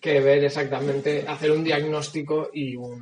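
Talking at a fairly slow pace, a man has a fairly high pitch. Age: young. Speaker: podcast co-host. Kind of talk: casual chat. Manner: halting.

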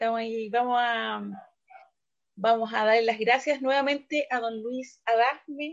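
In a normal speaking voice, a woman with a fairly high pitch talks at a fairly slow pace with fairly even intonation. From Valparaíso, Chile. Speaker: radio host. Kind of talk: casual radio chat.

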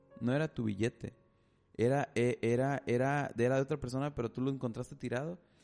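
Over music in the background, a man with a medium-pitched voice talks at a fairly quick clip with fairly even intonation. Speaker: podcast host. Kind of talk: casual chat. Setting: studio. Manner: talkative.

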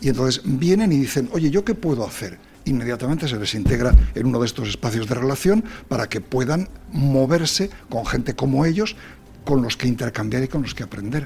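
A man's medium-pitched voice, fairly quick and with lively intonation, over music in the background. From Spain. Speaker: quality association president and engineer. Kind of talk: radio interview.

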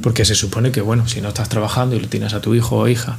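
The recording has noticeable background noise and audible room echo. A man speaks at a medium pitch. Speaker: podcast co-host, bartender. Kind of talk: casual chat.

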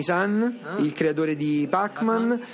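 Noticeable background noise accompanies a voice whose pitch moves in a normal way. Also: man. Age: 40s. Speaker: museum director. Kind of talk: interview.

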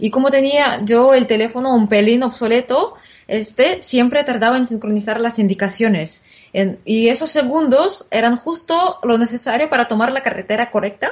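This woman has a Russian accent and a high pitch. She talks at a moderate pace with lively intonation. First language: Russian (speaking Spanish). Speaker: Spanish teacher. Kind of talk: interview.

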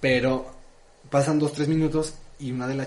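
Noticeable background noise and audible room echo fill the recording. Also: man. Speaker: podcast co-host. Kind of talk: casual chat.

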